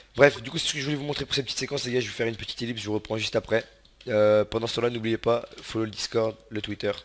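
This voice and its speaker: Fairly even intonation from a man talking at a very fast pace. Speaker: gaming youtuber. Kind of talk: let's play commentary. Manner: casual, many filler words.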